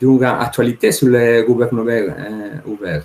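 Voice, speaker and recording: Speaking with a Spanish accent, the man has a medium pitch. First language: Spanish (speaking French). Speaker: law professor. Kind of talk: conference talk. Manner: halting, many hesitations.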